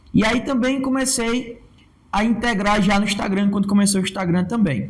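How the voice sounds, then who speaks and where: With ordinary pitch variation, a man talks in a high-pitched voice. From Brazilian Northeast. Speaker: comedian and digital influencer. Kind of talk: podcast interview.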